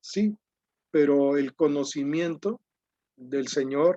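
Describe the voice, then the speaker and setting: A man's fairly high pitch comes with a dark, mellow tone, the sound dry and close with no echo. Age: 60s. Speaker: preacher. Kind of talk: sermon.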